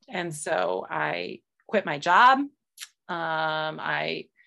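A woman speaks with a very deep, low pitch and vocal fry. The background is quiet. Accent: American. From US. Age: 40s. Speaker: yoga teacher and healer. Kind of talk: casual interview.

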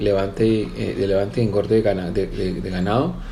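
A man talks at a moderate pace, his voice carrying audible room echo over noticeable background noise. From Colombia, Valle del Cauca (Cali). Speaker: businessman and horse breeder. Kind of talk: interview. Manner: halting, repeats words.

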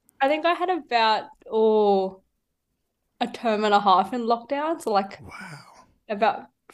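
A woman with an Australian accent and a fairly high pitch, fairly slow pace, lively intonation, big swings in loudness, and long, frequent pauses. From Sydney, Australia. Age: 19. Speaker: youth minister. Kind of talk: casual interview.

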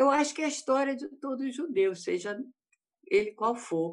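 Lively intonation marks this woman's voice. She talks at a fairly slow pace. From Rio de Janeiro state, Brazil. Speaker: panel guest, doctor. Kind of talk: panel discussion. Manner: halting.

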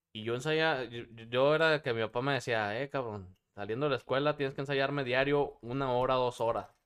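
A man with a plain, everyday voice at a medium pitch talks at a fairly quick pace on a very clean recording with a silent background. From Durango, Mexico. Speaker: musician. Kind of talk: casual chat.

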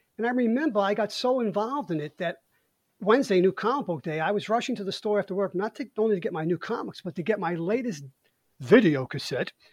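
Against a quiet background, a man with a high pitch talks at a very fast pace. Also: lively intonation, dry, close sound with no echo. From Brooklyn, New York. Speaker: podcast host. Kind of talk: casual chat.

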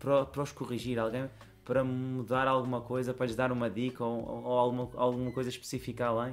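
With music playing in the background, a man speaks at medium pitch and a fairly quick pace. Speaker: basketball coach. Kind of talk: casual chat.

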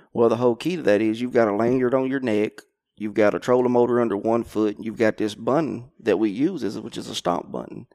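With an Arkansas accent, a man talks at a very fast pace in a dark, mellow tone, his medium pitch showing ordinary variation, on a very clean recording with a silent background. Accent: Southern US (Arkansas). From Arkansas, Conway area. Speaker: professional crappie angler. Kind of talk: casual interview. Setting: outdoors at a lake tournament.

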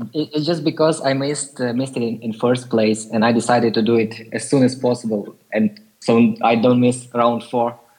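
A man with a Ukrainian accent speaks at a moderate pace and medium pitch, with fairly even intonation and hardly any pauses. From Ukraine. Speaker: community member asking questions. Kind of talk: casual chat. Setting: online group call.

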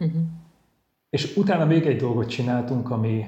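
There's a dark, mellow tone to this man's medium-pitched, somewhat breathy voice. His pitch variation is ordinary, and the room echo is audible. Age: 40s. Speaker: Benedictine monk and teacher. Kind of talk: interview. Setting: virtual studio.

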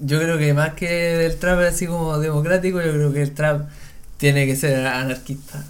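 A man's fairly high, monotone, flat voice at a moderate pace, with audible room echo. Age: 20s. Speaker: trap musician. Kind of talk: casual chat.

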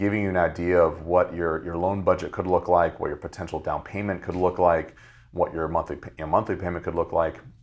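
Speaking with an American accent, a man with a very deep, low pitch moves at a fairly quick pace in a monotone, flat intonation against a quiet background. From Virginia (Fredericksburg). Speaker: small business lender. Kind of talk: podcast interview. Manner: hesitant, many fillers.

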